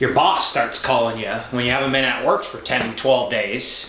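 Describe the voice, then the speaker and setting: A man's moderate-paced speech carries audible room echo and noticeable background noise. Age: 30s. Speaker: professional triathlete. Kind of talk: casual interview chat.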